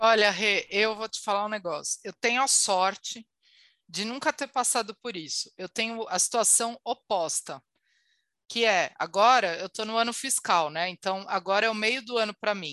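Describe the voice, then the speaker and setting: A woman's bright, sharp voice at a fairly high pitch, dry and close with no echo, against a quiet background. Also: ordinary pitch variation, moderate pace. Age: 30s. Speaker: marketing leader. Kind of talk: casual chat. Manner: animated.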